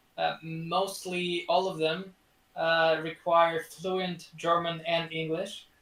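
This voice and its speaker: A man with a Russian accent speaks very slowly in a high pitch for a man. His tone is bright and sharp, and his intonation is monotone and flat. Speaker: student. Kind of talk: casual interview chat. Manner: halting, many fillers and repeats.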